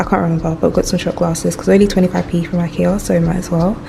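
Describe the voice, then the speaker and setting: A woman at medium pitch over noticeable background noise. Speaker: vlogger. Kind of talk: casual vlog talk. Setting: at home in new flat.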